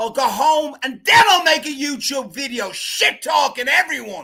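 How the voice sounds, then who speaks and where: A man speaks in a raised, projected voice at an extremely high pitch. His tone is animated and his pace moderate. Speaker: amateur boxer. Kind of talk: casual chat. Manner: loud.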